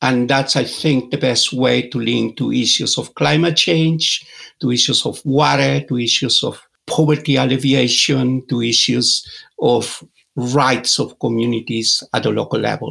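Speaking fairly slowly at a medium pitch, a man uses ordinary pitch variation and some vocal fry. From Peru, Andes. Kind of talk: interview.

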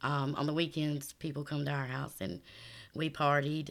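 A woman with a South Carolina accent speaks at a moderate pace in a very deep, low pitch with vocal fry. Her intonation is fairly even, and the recording is very clean with a silent background. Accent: Southern US (South Carolina). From US South, South Carolina. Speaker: church member giving testimony. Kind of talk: testimony interview.

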